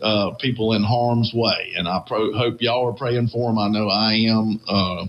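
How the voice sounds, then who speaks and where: A man speaks in a Southern US accent. His pitch is fairly low and his pace moderate. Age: 60s. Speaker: radio host. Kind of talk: casual chat.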